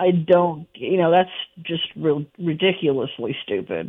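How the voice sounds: Speaking at a fairly slow pace, a woman with a low pitch and a slightly husky edge keeps her intonation lively.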